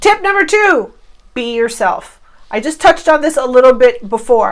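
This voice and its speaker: A woman speaks at a moderate pace in a high voice, her pitch swinging very widely. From Cuba. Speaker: online marketing coach. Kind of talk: tutorial. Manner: animated.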